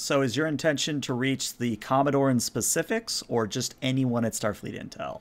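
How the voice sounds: A man speaks at a moderate pace with a medium pitch. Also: ordinary pitch variation.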